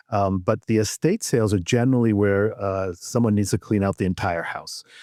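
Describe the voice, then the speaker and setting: An ordinary speaking voice, this man talks fairly quickly at a fairly low pitch with ordinary pitch variation and an American accent, recorded dry and close with no echo. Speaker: auctioneer and antiques appraiser, radio host. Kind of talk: casual podcast interview answer. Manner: conversational, relaxed, with fillers.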